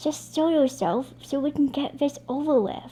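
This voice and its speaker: A woman uses a put-on character voice at a high pitch. She speaks at a moderate pace over clear background noise. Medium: read story. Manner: casual, sarcastic.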